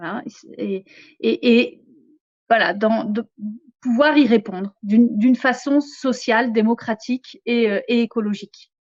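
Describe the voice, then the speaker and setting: A woman's voice, fairly high in pitch. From France, Picardy and southern France. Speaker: economics lecturer and activist spokesperson. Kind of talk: interview. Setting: live stream studio.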